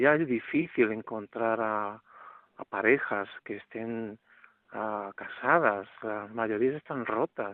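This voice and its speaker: A man talks at a very slow pace with a medium pitch. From Málaga, Spain.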